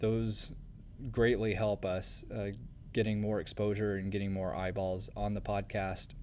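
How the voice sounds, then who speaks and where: Flat and monotone, a man's fairly low voice moves at a moderate pace. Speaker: podcast host, graduate student in geology. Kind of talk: interview.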